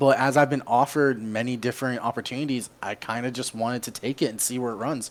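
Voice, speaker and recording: Very fast, monotone delivery in an American accent. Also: man. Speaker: esports caster and college student. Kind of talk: interview.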